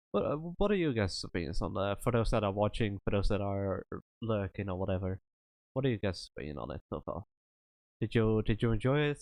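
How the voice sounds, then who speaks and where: A man with a Dutch accent, fairly low pitch and ordinary pitch variation at a fairly quick pace, dry and close with no echo over a quiet background. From Netherlands. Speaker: streamer. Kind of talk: casual chat. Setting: Discord voice chat during live stream.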